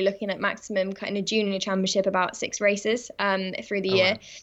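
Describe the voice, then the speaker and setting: A woman speaks in a southern English accent with a fairly high pitch. Her pace is very fast. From England. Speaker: rally driver. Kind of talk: interview. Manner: hesitant, frequent um fillers.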